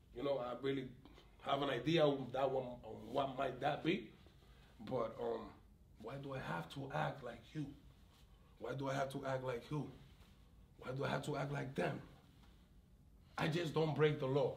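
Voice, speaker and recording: Amid audible room echo, a man with vocal fry speaks at medium pitch and a moderate pace, leaving long, frequent pauses. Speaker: community activist with police conflicts. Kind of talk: interview conversation. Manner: loud; animated, sometimes shouting.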